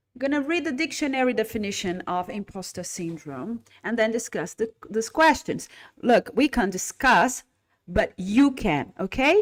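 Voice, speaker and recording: A woman speaks at a moderate pace with lively intonation. Her pitch is fairly high. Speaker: English teacher trainer. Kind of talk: live online lesson. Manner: getting louder as voice warms up.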